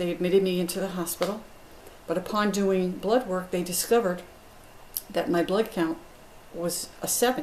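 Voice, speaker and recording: A woman's medium-pitched voice at a moderate pace, fairly even in intonation, with noticeable background noise. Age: 60s. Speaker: patient. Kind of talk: testimony. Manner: hesitant with fillers.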